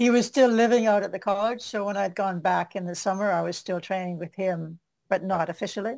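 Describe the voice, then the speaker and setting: Fairly quick and with fairly even intonation, a plain, everyday voice with a Canadian accent comes through on a very clean recording with a silent background. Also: woman, medium pitch for a woman. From western Canada. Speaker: martial artist and author. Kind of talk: casual interview.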